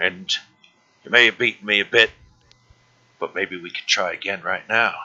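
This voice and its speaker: A man uses a put-on character voice, raspy and fairly low in pitch. He keeps a moderate pace. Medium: actual play. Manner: crude, taunting, refers to himself in third person.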